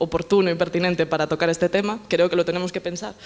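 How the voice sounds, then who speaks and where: In a Galician accent, a woman speaks at a fairly low pitch. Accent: Galician Spanish accent, noticeable. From Galicia, Spain. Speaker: politician and feminist speaker. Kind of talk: panel talk. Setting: panel at a summer university, with audience. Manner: fast.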